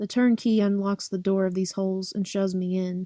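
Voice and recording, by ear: Someone is reading aloud in a natural voice, and the intonation remains fairly even.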